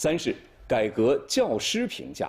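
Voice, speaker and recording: Vocal fry and very wide pitch swings from a man with a fairly high pitch, at a very slow pace, on a very clean recording with a silent background. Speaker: news anchor. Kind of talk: television news broadcast.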